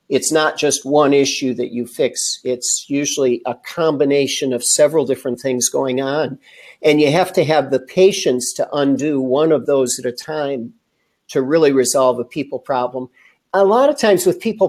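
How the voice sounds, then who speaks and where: A man's fairly high pitch, a normal speaking voice, ordinary pitch variation at a moderate pace, on a very clean recording with a silent background. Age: 60s. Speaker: leadership development trainer. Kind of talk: interview. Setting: live stream.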